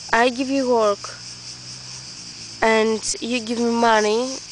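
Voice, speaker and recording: A woman speaks at a very slow pace in a fairly high pitch, with noticeable background noise behind her. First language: not English. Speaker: vlogger. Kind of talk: casual monologue vlog. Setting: outdoors in the woods. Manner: halting, many restarts.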